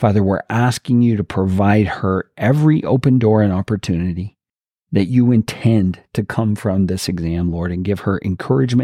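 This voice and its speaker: At a moderate pace, the voice carries a dark, mellow tone and ordinary pitch variation in a dry, close sound with no echo. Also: man. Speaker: prayer podcast host. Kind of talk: fervent prayer. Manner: earnest, reverent, fervent.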